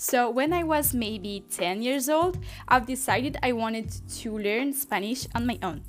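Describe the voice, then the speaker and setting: Speaking at a fairly slow pace with lively intonation, a woman with a non-native accent uses a high pitch while music plays in the background. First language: French. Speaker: language learner. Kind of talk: casual talk to camera.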